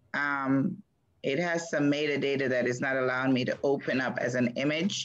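Over a quiet background, a woman speaks at a moderate pace in a very deep, low pitch with ordinary pitch variation. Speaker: show producer. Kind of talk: casual chat. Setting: video call. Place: home room. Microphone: video call.

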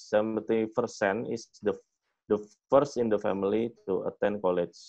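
There is a quiet background as a man with an Indonesian accent talks in a fairly low pitch. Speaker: fintech executive; fintech company founder guest lecturer. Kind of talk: lecture. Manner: halting. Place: home room. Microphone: webcam.

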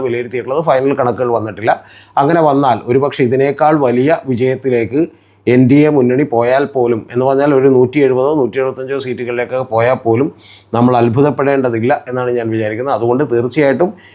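Speaking with medium pitch, a man has a dark, mellow tone and fairly even intonation. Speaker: political commentator. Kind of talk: political analysis monologue.

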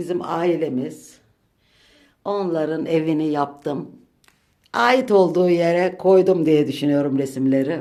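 A woman speaks very slowly in a very deep, low voice with a dark, mellow tone, ordinary pitch variation and audible room echo. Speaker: home vlogger. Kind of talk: home tour vlog. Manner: deliberately slow.

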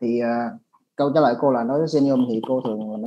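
His pitch is in the medium range. The man talks fairly quickly. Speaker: interpreter for orthodontics webinar. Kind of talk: consecutive interpretation. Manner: halting, many fillers.

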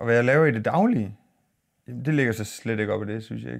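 A man speaks with a fairly low pitch and ordinary pitch variation, keeping a moderate pace while the background stays quiet. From Denmark, Aarhus. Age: 40s. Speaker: YouTuber and minibus driver. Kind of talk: casual vlog monologue. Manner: halting, many fillers and repeats. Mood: calm, reflective. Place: studio.

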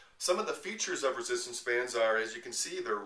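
Audible room echo is present. The voice belongs to a man. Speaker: personal trainer. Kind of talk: promotional tutorial talk. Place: home room. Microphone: camera far.

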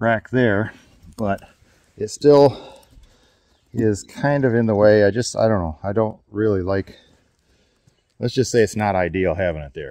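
A man's dark, mellow tone with ordinary pitch variation and long, frequent pauses, in a dry sound with no echo and a quiet background. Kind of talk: tutorial. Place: open country. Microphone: phone near.

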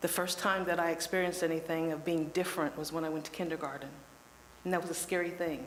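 Very fast, monotone speech from a woman with a fairly low pitch and an American accent, with audible room echo and noticeable background noise. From Lebanon, Ohio, US Midwest. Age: 60s. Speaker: public commenter at city council. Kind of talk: public comment testimony.

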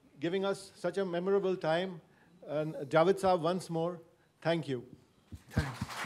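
Light background noise sits behind a man's high-pitched voice. He keeps fairly even intonation at a moderate pace, with long, frequent pauses. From India. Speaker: family member giving vote of thanks; host giving vote of thanks. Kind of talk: vote of thanks. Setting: lecture hall with audience. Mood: warm, grateful. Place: hall. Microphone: handheld.

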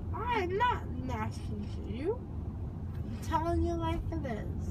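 A woman talks at a fairly slow pace with loud background noise behind her. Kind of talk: groggy casual chat. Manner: drowsy, slurred, numb-mouthed protest. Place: car. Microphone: phone near.

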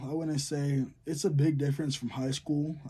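A somewhat breathy man speaks at a fairly slow pace with ordinary pitch variation over light background noise. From Southern California. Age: young. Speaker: college football player, YouTuber. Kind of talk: casual Q&A vlog. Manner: casual, slangy. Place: home room. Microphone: phone near.

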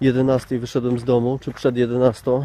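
Light background noise accompanies a man's voice, recorded dry with no echo. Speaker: hiker vlogger. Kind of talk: casual vlog chat. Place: open country. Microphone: phone near.

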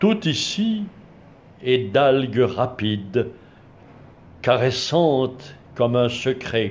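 A man talks at a very slow pace, breaking it up with long, frequent pauses. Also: lively intonation. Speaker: blogger reading poetry. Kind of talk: poem reading, read aloud from a book after a short spoken introduction. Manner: measured, formal, literary delivery; unhurried, with a reverent, contemplative tone. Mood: calm, measured. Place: home room. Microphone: phone near.

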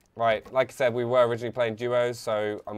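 A man talking at a very fast pace in a London accent. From England, London. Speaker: gaming streamer. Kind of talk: live gameplay stream commentary. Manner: animated. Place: home room. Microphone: headset.

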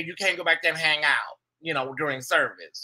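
Against a quiet background, a man speaks at a fairly quick pace with high pitch and fairly even intonation. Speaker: livestream host. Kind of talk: casual livestream chat. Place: home room. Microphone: webcam.

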